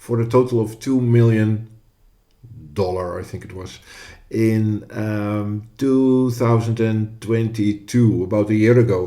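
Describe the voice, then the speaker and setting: In a Dutch accent, a man talks with a medium pitch, fairly even intonation and a dark, mellow tone. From Netherlands. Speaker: podcast co-host. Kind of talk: podcast discussion. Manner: hesitant, with fillers.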